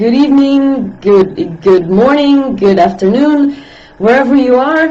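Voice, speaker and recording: Very slow speech with lively intonation over noticeable background noise. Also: woman. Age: 35+. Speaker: health and diet vlogger. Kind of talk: live stream talk. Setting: live video stream.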